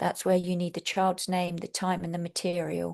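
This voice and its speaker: A woman with a fairly low voice speaks at a moderate pace in a flat monotone against a quiet background. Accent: London. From England, London. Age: 60s. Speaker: Montessori teacher trainer. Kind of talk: webinar lecture.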